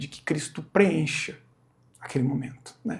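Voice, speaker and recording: A man's somewhat breathy, fairly high voice at a moderate pace. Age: 40s. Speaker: church singer sharing testimony. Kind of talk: testimony.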